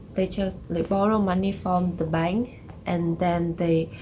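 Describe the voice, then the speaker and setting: Against noticeable background noise, a woman with a Vietnamese accent speaks at a very slow pace in a fairly low pitch. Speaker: vlogger. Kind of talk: casual explainer vlog. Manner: halting, many fillers.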